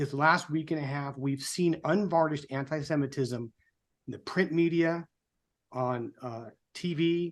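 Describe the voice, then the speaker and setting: An unremarkable speaking voice, a man's fairly high pitch moves at a fairly slow pace with fairly even intonation. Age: 60s. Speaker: political group co-founder and show host. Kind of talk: prepared speech on a live show. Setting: live online show. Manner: somber.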